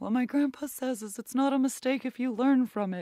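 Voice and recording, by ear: A put-on character voice with fairly high pitch at a fairly quick pace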